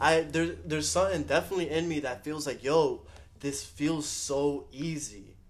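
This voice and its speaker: A normal speaking voice from a man, fairly high in pitch, with ordinary pitch variation. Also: moderate pace. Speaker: podcast co-host. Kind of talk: casual chat.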